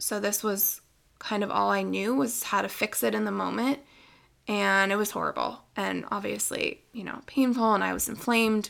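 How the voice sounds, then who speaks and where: A woman with an American accent at a moderate pace, in a very clean recording with a silent background. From US Northeast (Pennsylvania). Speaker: nutrition coach, podcast co-host. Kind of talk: solo podcast monologue, personal testimony and advice. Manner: casual, many fillers.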